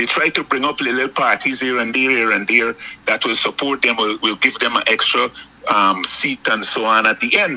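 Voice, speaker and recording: A man at a moderate pace, fairly even in intonation and very even in loudness, over noticeable background noise. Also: medium pitch for a man. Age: 60s. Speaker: political commentator. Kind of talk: political talk.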